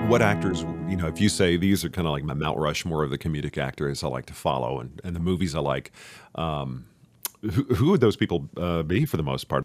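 A man with an American accent speaks at a fairly quick pace in a very deep, low pitch with vocal fry and ordinary pitch variation. The recording is very clean, with a silent background. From Texas, Richardson (Dallas area). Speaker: podcast host and actor. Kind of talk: casual interview chat.

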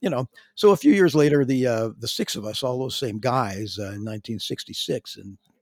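A man with a western Canadian accent talks at medium pitch and a moderate pace, in a dry, close sound with no echo. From western Canada, Calgary. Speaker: veteran drummer and singer. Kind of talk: interview. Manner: halting.

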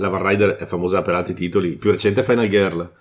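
This is a man with a fairly low pitch and fairly even intonation. The recording is very clean, with a silent background. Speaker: board game podcast co-host. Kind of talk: casual chat.

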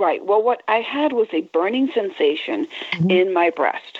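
Her pitch is fairly high and swings very widely. The woman speaks at a moderate pace. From New York City, Puerto Rican heritage. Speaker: breast cancer survivor and peer support advocate. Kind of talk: interview.

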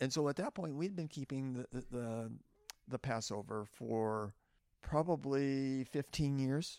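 A normal speaking voice from a man with an American accent, medium in pitch with ordinary variation, at a fairly slow pace, on a very clean recording with a silent background. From Oklahoma. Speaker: retired lab engineer. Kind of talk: testimony. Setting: at a festival museum.

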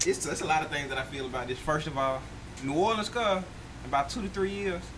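At a fairly quick pace, a man talks with very wide pitch swings, with audible room echo and noticeable background noise. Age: 20s. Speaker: podcast co-host. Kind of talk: casual chat.

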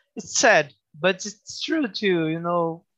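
A man with a Brazilian accent speaks in a raised, projected voice. His intonation is lively. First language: Portuguese. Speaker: tattoo artist. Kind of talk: casual interview chat. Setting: video call. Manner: halting non-native phrasing, laughs often.

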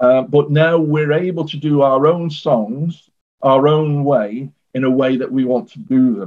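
A man speaks with a Mancunian accent at a fairly slow pace. His pitch is fairly high, with ordinary variation. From northern England, Manchester. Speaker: guitarist. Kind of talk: interview. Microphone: poor internet connection.

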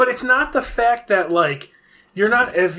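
Someone speaks loudly with an American accent. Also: man. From Buffalo, New York. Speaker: guest. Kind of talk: casual chat.

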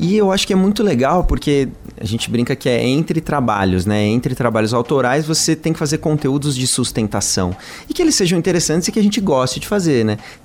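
Against noticeable background noise, a fairly high-pitched man talks fairly quickly, his pitch swinging very widely while his loudness stays very even. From São Paulo, Brazil. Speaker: singer-songwriter in a duo. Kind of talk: radio interview. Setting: radio studio.

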